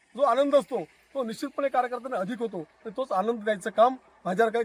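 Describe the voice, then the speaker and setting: A man speaks at an extremely high pitch with ordinary pitch variation. The sound is dry and close, with no echo. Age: 60s. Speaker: local politician, election candidate. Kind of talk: news interview.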